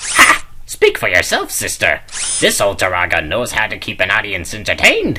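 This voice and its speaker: A put-on character voice with a low pitch, spoken at a moderate pace over light background noise. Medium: audio drama. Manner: jokey, loose.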